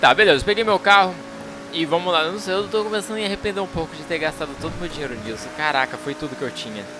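Over noticeable background noise, a man with a Brazilian accent speaks very fast. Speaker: gaming youtuber. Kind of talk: gameplay commentary. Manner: animated. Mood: light, slightly regretful. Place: home room. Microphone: headset.

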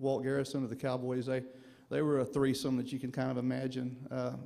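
A man speaks with a dark, mellow tone. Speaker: son of inductee giving acceptance speech. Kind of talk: acceptance speech. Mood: reflective, proud. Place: hall. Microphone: podium.

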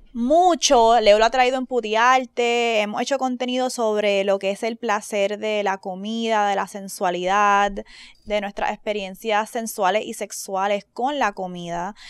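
On a very clean recording with a silent background, a woman with an unremarkable speaking voice and a fairly high pitch speaks at a fairly slow pace with fairly even intonation. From Caribbean. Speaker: podcast host. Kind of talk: casual chat.

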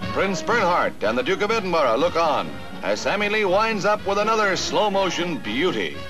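Over clear background music, a high-pitched man talks at a moderate pace with lively intonation. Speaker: newsreel narrator. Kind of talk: newsreel narration. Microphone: old recording.

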